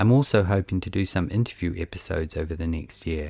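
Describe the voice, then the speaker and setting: A man with a New Zealand accent speaks in a very deep, low voice. His pace is moderate, and the recording is very clean with a silent background. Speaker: podcast host. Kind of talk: scripted narration. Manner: monotone.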